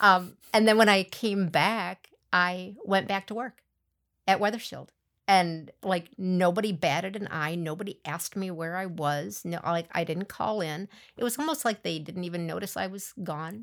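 Woman with an American accent, medium pitch and ordinary pitch variation, moderate pace and big swings in loudness, in a very clean recording with a silent background. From US Midwest, central Wisconsin. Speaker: former coworker. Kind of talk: casual chat.

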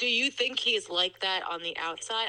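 This is a woman speaking. Her tone is bright and sharp. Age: 30s. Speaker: friend of the host, mother. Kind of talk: casual chat.

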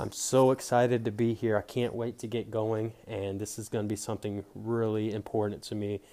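A man with a fairly low pitch talks at a fairly quick pace with hardly any pauses, his monotone, flat intonation carried in a dark, mellow tone. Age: 20s. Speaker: podcast host. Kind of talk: solo podcast intro monologue.

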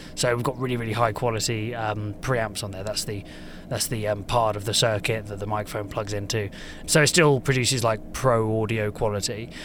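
With an unremarkable speaking voice, a man talks at a fairly quick pace, his fairly low pitch held in fairly even intonation. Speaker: audio equipment product specialist. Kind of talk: casual interview. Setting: booth at live podcast show.

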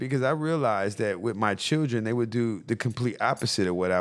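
A man talks at a very fast pace. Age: 30s. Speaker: crystal seller and community figure. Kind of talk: casual chat. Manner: halting.

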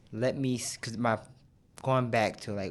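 In a very clean recording with a silent background, a man with an American accent uses an ordinary speaking voice, fairly even intonation and a moderate pace. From Michigan, Grand Rapids. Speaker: director of a recovery program. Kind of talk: casual chat.

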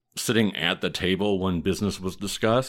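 On a very clean recording with a silent background, a man with a Midwestern US accent speaks at a fairly quick pace. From US Midwest. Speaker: historian and podcast host. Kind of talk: casual podcast storytelling.

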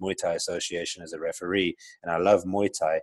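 Over a very clean, silent background, a man with a South African accent talks at a fairly quick pace. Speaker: entrepreneur. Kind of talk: interview. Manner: hesitant, many fillers.

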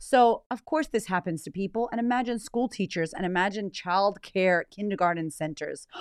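An animated woman's voice with an American accent, at a moderate pace. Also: dry, close sound with no echo. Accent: American with slight Australian twang. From United States. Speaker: life coach and podcast host. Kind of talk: casual monologue.

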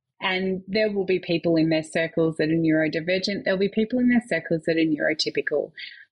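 With an Australian accent, a woman talks at a very fast pace with hardly any pauses, using a fairly low pitch, ordinary pitch variation and very even loudness. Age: 30s. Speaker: nurse and mother. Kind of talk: casual chat.

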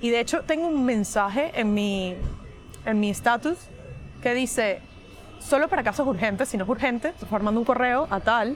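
A woman speaks at a moderate pace in a fairly high voice with lively intonation, with music playing in the background. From Venezuela. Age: 20s. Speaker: cybersecurity professional. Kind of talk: casual chat. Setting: cafe.

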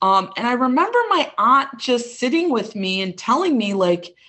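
A woman with a slight Midwestern US accent speaks at a fairly high pitch with very wide pitch swings. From Chicago suburbs, US Midwest. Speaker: medical doctor and intuitive healer. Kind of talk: casual interview.

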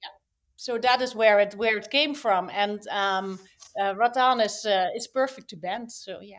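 A woman speaks at a moderate pace with a fairly high pitch and ordinary pitch variation. Her loudness swings in big ways. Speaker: toy brand founder. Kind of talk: interview conversation. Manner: halting, hesitant.

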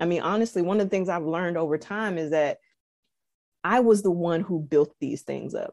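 With an American accent, a woman speaks at a fairly quick pace in a fairly low pitch with ordinary variation, on a very clean recording with a silent background. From US South. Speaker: engineer. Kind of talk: casual chat. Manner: calm.

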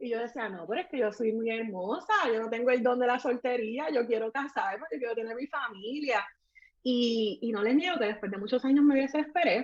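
A woman speaks at a high pitch and a fairly quick pace. Her pitch variation is ordinary. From Puerto Rico. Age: 30s. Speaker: makeup artist. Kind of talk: testimony.

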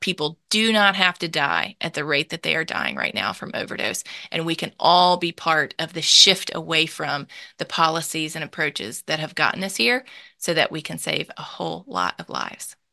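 In a Southern US accent, a woman with a fairly low pitch, a bright, sharp tone and vocal fry speaks at a moderate pace, the sound dry and close with no echo against a quiet background. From Mississippi, US South. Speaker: nonprofit founder and author. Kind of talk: interview.

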